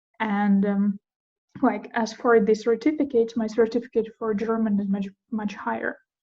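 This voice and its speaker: Speaking at a moderate pace with a Russian accent, a woman has a fairly high, somewhat breathy voice with a dark, mellow tone. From Ukraine. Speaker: podcast host. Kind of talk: casual chat. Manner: halting.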